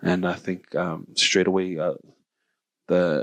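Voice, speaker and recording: The speaker has a New Zealand accent and a fairly slow pace, recorded with a dry, close sound and no echo. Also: man. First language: Samoan. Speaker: podcast host. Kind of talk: casual chat.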